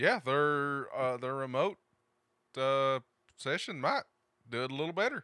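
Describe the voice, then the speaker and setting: A man with a bright, sharp tone speaks at a fairly slow pace. Long, frequent pauses break up his speech. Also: fairly high pitch for a man, ordinary pitch variation. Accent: Appalachian. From eastern Kentucky, US. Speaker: tech podcast host. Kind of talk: casual chat.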